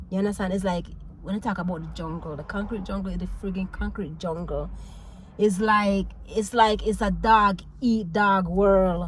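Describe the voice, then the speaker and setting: In a Jamaican accent, a woman speaks at a moderate pace with medium pitch. Her tone is animated. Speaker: vlogger, mom. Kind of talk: casual talk to camera. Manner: animated, expressive.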